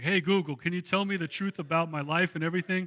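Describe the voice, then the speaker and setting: A man's high, bright, sharp voice with ordinary pitch variation, on a very clean recording with a silent background. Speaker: pastor. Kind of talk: sermon. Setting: church. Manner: conversational, casual.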